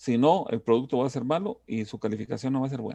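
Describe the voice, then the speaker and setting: A man's medium-pitched voice has a dark, mellow tone and ordinary pitch variation. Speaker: university lecturer. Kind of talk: lecture. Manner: trying to speak slowly.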